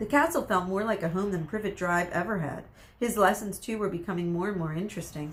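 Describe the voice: Plain reading aloud. The delivery stays simple throughout.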